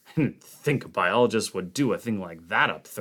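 The reading is aloud and in a natural voice, carried by lively intonation.

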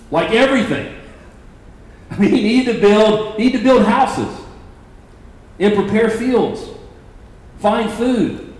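Over noticeable background noise and audible room echo, a man with a high voice talks at a fairly slow pace, his intonation fairly even and his speech broken by long, frequent pauses. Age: 40s. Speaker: pastor.

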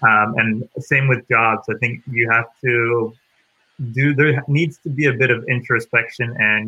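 Speaking fairly slowly in an American accent, a man with an unremarkable speaking voice keeps a medium pitch and fairly even intonation. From US East Coast. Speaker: podcast host. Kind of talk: casual interview chat.

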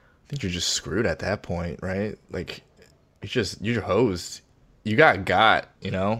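A man's fairly low voice at a fairly slow pace, a plain, everyday voice with ordinary pitch variation and big swings in loudness. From US South, Virginia. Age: 30s. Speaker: comedian. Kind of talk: casual chat.

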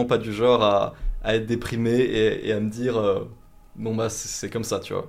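The man talks at a fairly slow pace. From France, Vosges. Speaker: YouTuber. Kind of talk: interview conversation. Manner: hesitant, many fillers.

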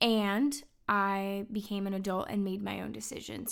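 A woman talks at a medium pitch with fairly even intonation, in a normal speaking voice. The recording is very clean, with a silent background. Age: 30s. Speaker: podcast host sharing life story. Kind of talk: personal testimony monologue. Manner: earnest, warm.

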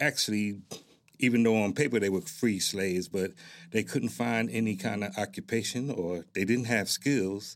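A man with an American accent uses a normal speaking voice, fairly low in pitch, with ordinary pitch variation at a moderate pace. The recording is very clean, with a silent background. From Newark, New Jersey. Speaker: military retiree, heritage group president. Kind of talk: interview. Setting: studio.

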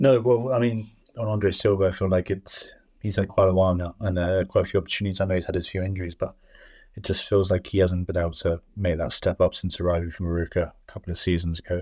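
With an English accent, a man speaks at a very fast pace in a very deep, low pitch and a dark, mellow tone, using fairly even intonation on a very clean recording with a silent background. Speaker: teacher. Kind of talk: casual chat.

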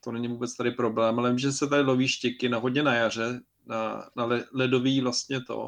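His speech is monotone and flat, at a fairly quick pace. The man's pitch is medium. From Czech Republic. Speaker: podcast co-host. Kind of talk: casual chat. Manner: halting.

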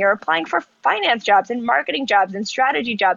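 A woman with an American accent speaks at a fairly high pitch with lively intonation. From US South, North Carolina (Charlotte). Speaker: ice cream company founder. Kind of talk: casual interview. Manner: hesitant, many fillers.

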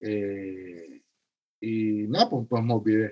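The man's voice carries a dark, mellow tone. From Cuba. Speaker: paramedic educator and physician. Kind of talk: interview. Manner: halting, many repeated words.

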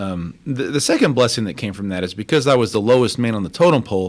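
In a very clean recording with a silent background, a man with an American accent speaks at a fairly quick pace and medium pitch with lively intonation, a plain, everyday voice. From Texas (Crosby, Houston area) and Mexico. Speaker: deputy city controller. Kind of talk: radio interview.

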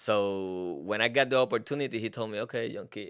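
A man speaks with a Puerto Rican accent. His pitch varies in an ordinary way over a quiet background. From Puerto Rico. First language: Spanish. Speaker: postal employee. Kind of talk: casual interview.

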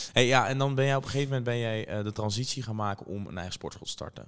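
Delivered at a very fast pace, a man's speech carries ordinary pitch variation. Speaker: podcast host. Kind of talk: casual interview.

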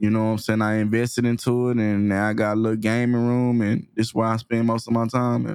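Monotone, flat delivery from a man with an American accent, medium pitch, fairly quick pace. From Texas, Waco. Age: 30s. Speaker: content creator. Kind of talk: casual interview. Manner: laid-back.

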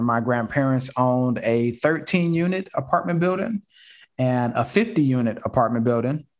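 In a normal speaking voice, a man with an American accent talks at a moderate pace. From Detroit and Houston, US. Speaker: real estate investor and show host. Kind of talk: casual live video call chat. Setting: video call from home office. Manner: rambling with many fillers.

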